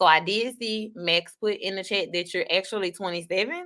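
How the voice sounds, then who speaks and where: A woman with an American accent speaks at a medium pitch with ordinary pitch variation, in an ordinary speaking voice. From US South, Baton Rouge Louisiana. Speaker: online talk show host. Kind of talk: casual chat. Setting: livestream.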